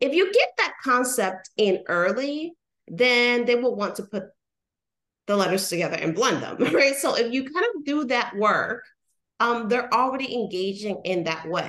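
A high-pitched woman's voice with lively intonation at a fairly slow pace. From Puerto Rico. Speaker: literacy educator. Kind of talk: casual interview chat.

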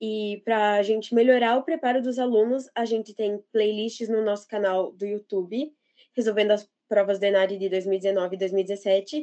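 A woman talks at a moderate pace in an unremarkable speaking voice. Her pitch is fairly high and her intonation fairly even. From Santa Catarina, Brazil (São Bento do Sul). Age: 20s. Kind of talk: podcast interview.

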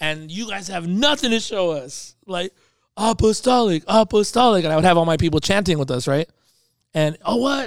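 Animated and lively, a high-pitched man with an American accent talks at a moderate pace in a very clean recording with a silent background. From Los Angeles, California. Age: 40s. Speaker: pastor. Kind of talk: interview conversation.

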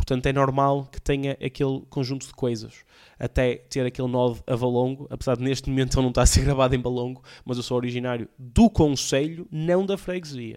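This man's medium-pitched voice moves at a fairly quick pace, its intonation fairly even. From Portugal, Porto area (Alfena). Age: young. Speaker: comedian and podcast host. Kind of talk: casual solo podcast monologue. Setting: home recording with camera and PC. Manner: casual, slangy, halting with fillers.

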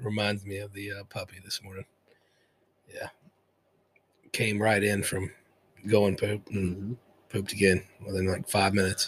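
Fairly low-pitched and somewhat breathy, a man speaks at a moderate pace in a monotone, flat delivery, with big swings in loudness and long, frequent pauses. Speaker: podcast co-host.

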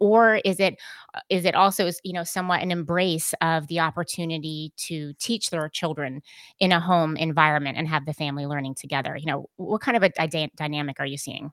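In an ordinary speaking voice, a woman with an American accent talks at a fairly quick pace, her pitch fairly low and its variation ordinary, on a very clean recording with a silent background and a dry, close sound with no echo. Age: 40s. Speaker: podcast host and editor. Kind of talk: casual interview chat.

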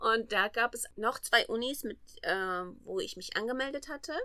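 A woman talks with a bright, sharp tone and ordinary pitch variation. Her pitch sits fairly high. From Armenia, Yerevan. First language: Armenian (speaking German). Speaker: master's student. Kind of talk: interview. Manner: hesitant, many fillers.

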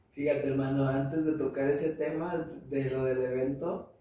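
Amid noticeable background noise and audible room echo, a man speaks in a fairly high pitch with monotone, flat intonation. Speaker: podcast host. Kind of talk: casual chat.

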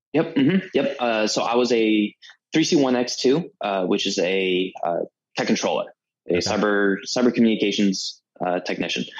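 With an American accent, a man talks at a moderate pace in a normal speaking voice with lively intonation. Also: medium pitch for a man. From Florida, St. Pete / Tampa area. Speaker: Air Force veteran. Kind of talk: casual chat.

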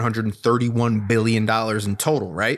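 An ordinary speaking voice, a man's, at a medium pitch and with an American accent. He moves at a fairly quick pace in a very clean recording with a silent background. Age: 30s. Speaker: podcast co-host. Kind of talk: casual political discussion.

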